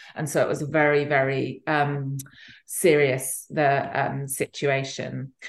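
In an English accent, a woman speaks at a fairly slow pace with a very deep, low pitch and monotone, flat intonation. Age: 50s. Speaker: author and fertility advocate. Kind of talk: interview. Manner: halting.

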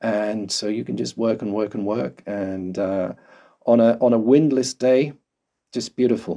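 Speaking fairly slowly in a southern English accent, a man with a fairly low pitch and a dark, mellow tone uses ordinary pitch variation. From London, England. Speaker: volcanologist. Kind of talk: interview. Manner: halting.

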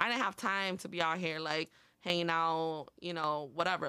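The moderate-paced speech comes on a very clean recording with a silent background. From northern Illinois, Montgomery/Aurora area. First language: Spanish. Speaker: community college student and health clinic worker. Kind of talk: casual interview.

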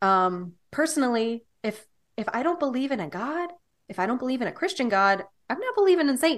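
At a fairly quick pace, a woman speaks in a high pitch that swings very widely. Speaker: podcast host. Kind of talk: casual chat.

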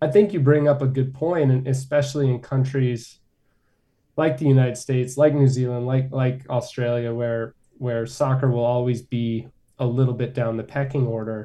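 With an American accent, a man speaks at a moderate pace in a dark, mellow, somewhat breathy tone with fairly even intonation. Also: medium pitch for a man. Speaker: sports journalist. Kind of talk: radio interview, conversational.

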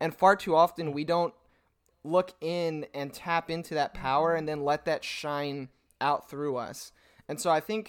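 A plain, everyday voice from a man, moderate in pace and fairly high in pitch. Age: 20s. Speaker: podcast host and youth pastor. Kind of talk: casual interview chat. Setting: remote call.

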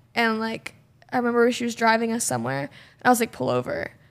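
A woman with a fairly high voice talks very fast, her pitch varying in an ordinary way. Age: 20s. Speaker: podcast guest. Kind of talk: casual chat.

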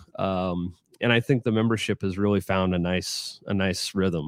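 At a moderate pace, a man with a plain, everyday voice and a fairly low pitch talks in a dry, close recording with no echo. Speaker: former sportswriter and golf club employee. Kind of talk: casual interview chat.

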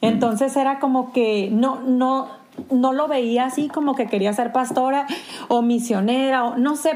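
A woman speaks at a moderate pace with a high pitch. Noticeable background noise runs behind her. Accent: northern Mexican. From Sonora, Mexico. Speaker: pastor's wife and church ministry leader. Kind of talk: casual interview conversation.

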